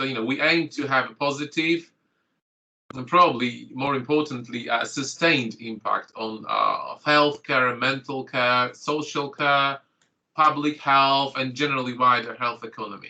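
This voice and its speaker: With a bright, sharp tone, a man speaks at a fairly high pitch and fairly even intonation. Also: moderate pace. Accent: Polish. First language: Polish. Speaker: GP and clinical lecturer. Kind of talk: online training presentation.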